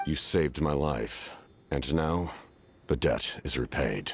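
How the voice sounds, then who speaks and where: A man's put-on character voice, very deep and low, at a fairly slow pace. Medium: video game. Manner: calm, measured.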